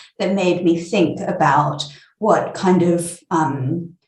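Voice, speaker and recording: Delivered at a very slow pace, the speech carries audible room echo. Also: woman. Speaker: neuroscientist. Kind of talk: interview. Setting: video call.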